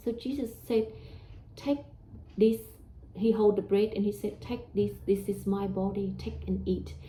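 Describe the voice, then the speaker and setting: Speaking at a fairly slow pace with a Vietnamese accent, a woman leaves long, frequent pauses. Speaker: religious teacher. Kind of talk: religious talk. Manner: hesitant, with fillers.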